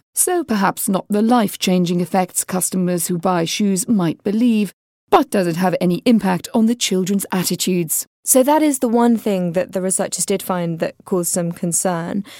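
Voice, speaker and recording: A woman speaks at a moderate pace with hardly any pauses, her medium-pitched voice dark and mellow with ordinary pitch variation, the sound dry and close with no echo in a very clean recording with a silent background. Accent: British. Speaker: radio host. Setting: studio.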